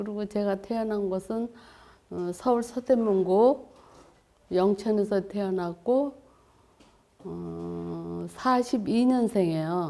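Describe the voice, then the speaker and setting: The voice has a dark, mellow tone and moves at a very slow pace, broken by long, frequent pauses. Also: woman, medium pitch for a woman, ordinary pitch variation. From South Korea, Yeosu (South Jeolla). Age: 80s+. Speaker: cartoonist. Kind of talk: interview.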